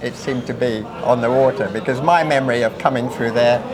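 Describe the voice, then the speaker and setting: A man speaks at a fairly quick pace. There is audible room echo and noticeable background noise. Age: 60s. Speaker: retired sea captain. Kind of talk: interview reminiscence. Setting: informal dinner gathering. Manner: hesitant with repetitions.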